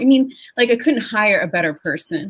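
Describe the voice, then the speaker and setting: A woman's voice, somewhat breathy, moves at a moderate pace. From Panama, raised in US from age seven. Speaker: diversity and inclusion leader. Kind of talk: webinar panel discussion.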